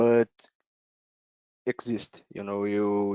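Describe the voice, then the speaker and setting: With a Brazilian accent, a man speaks at a very slow pace in a fairly low, monotone, flat voice, recorded dry and close with no echo. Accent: Brazilian accent, non-native English. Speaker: software developer presenter. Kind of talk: technical presentation Q&A. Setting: online video meeting. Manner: halting, many fillers.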